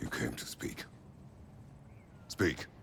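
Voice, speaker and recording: Someone performs a put-on character voice against clear background noise. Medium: video game. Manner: terse, stern.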